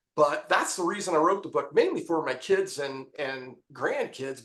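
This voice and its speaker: Lively intonation from a high-pitched man with an American accent, at a moderate pace. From Appalachia, eastern Ohio. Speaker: memoir author. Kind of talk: podcast interview. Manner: halting.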